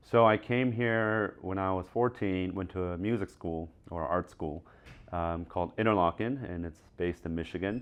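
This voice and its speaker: A very deep, low-pitched man with an American accent and ordinary pitch variation. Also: moderate pace. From South Korea, Seoul. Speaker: music producer. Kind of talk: interview.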